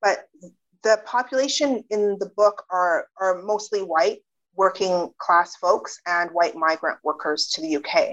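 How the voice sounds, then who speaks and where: This is a woman with a Canadian accent and a plain, everyday voice. She speaks at a fairly slow pace and a medium pitch with ordinary pitch variation. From Canada. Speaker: sociologist and author. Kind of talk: interview.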